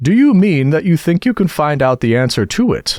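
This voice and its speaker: A man's put-on character voice, high-pitched and at a fairly quick pace. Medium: read story.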